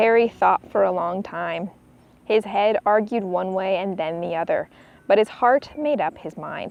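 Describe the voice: A woman talks at a fairly slow pace and medium pitch. Her voice has vocal fry and ordinary pitch variation.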